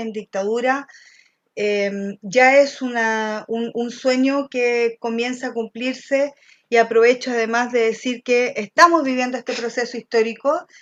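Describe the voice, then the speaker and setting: A woman speaks with an unremarkable speaking voice, fairly high in pitch, at a fairly slow pace. Her intonation stays fairly even, and the sound is dry and close with no echo. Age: 50s. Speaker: political candidate. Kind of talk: candidate interview.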